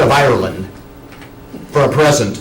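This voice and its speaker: A man's fairly high voice at a moderate pace, with audible room echo and noticeable background noise. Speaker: student giving a speech. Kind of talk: tribute speech. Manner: loud; animated.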